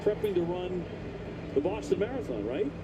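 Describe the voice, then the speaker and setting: A man with a high pitch, speaking at a fairly quick pace over noticeable background noise. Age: 60s. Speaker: baseball radio play-by-play announcer. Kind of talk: live sports commentary.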